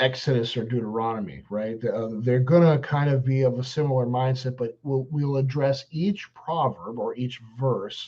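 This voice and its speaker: A man with a dark, mellow, somewhat breathy tone speaks at medium pitch and a moderate pace, showing ordinary pitch variation and hardly any pauses. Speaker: pastor. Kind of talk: bible study teaching. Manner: at times unintelligible; hesitant, many fillers.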